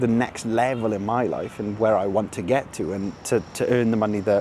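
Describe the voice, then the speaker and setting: A man speaks with a Welsh accent. His pitch is medium and his pace moderate. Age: 20s. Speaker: vlogger. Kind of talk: casual vlog monologue. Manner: casual, animated.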